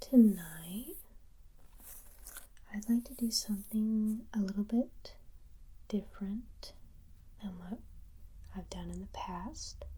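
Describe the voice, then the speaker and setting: The voice is soft-spoken, with a gentle tone and a very slow pace. Long, frequent pauses break up the speech. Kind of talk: ASMR soft-spoken talk to camera. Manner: soft-spoken, gentle.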